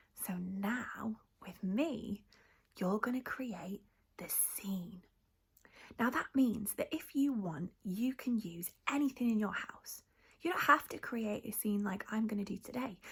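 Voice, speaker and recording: The speaker is whispering at a fairly slow pace. The sound is somewhat breathy. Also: woman. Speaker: youth theatre practitioner. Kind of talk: tutorial. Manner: animated.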